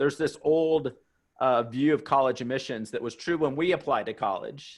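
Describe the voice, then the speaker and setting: Speaking at a fairly quick pace in an American accent, an ordinary speaking voice shows ordinary pitch variation. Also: man, quiet background. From US South. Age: 40s. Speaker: college admissions consultant. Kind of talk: webinar presentation. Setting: webinar.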